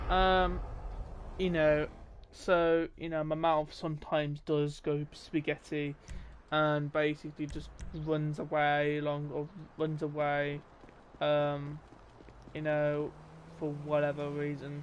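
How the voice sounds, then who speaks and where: Someone speaks with a British accent at a very slow pace. There are long, frequent pauses. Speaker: gaming live streamer. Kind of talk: casual live stream commentary. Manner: hesitant, many fillers.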